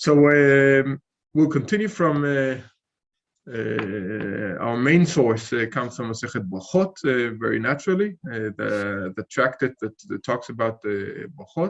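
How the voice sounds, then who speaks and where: This man talks at a fairly slow pace in a medium-pitched voice. His intonation is lively. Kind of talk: online lecture. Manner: halting, many fillers.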